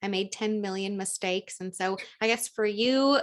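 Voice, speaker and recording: Here is a plain, everyday voice. A woman speaks at a medium pitch with fairly even intonation. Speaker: teacher and podcast host. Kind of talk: podcast interview host.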